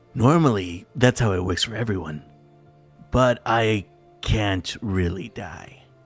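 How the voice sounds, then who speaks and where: Over faint background music, a man uses a put-on character voice at a fairly low pitch and a fairly slow pace. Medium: game stream. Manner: stammering, casual.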